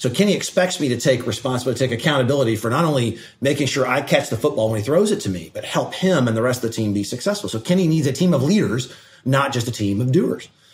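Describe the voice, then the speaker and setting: A somewhat breathy man speaks at a very fast pace. He has an American accent. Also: medium pitch for a man, lively intonation. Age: 40s. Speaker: state energy regulator. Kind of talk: casual mentoring conversation.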